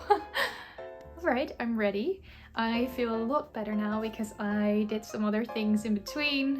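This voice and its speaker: The speech moves at a fairly slow pace with ordinary pitch variation. Music plays in the background. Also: woman. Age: 20s. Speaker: content creator. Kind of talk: casual vlog chat. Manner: rambling, chatty.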